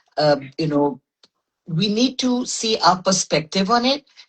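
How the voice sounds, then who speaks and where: At a fairly slow pace, a woman speaks with a medium pitch, lively intonation and a somewhat breathy voice. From Pakistan. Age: 60s. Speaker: medical doctor and wellness advocate. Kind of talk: interview conversation. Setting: Instagram live.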